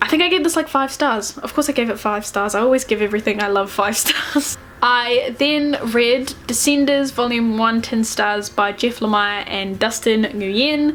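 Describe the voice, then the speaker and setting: Over noticeable background noise, a woman with a fairly high pitch speaks with hardly any pauses. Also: ordinary pitch variation, moderate pace. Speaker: book reviewer. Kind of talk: casual talk to camera.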